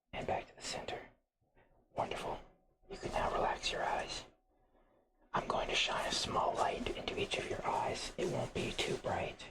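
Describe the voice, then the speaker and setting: A man's raspy, put-on character voice with a soothing tone, a moderate pace and long, frequent pauses. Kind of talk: ASMR medical role-play. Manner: soft-spoken, slow, soothing, whispered.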